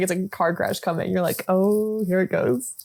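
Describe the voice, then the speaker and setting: A woman with an American accent, fairly quick pace, animated tone and lively intonation, over noticeable background noise. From New Jersey. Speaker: film podcast co-host. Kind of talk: casual chat.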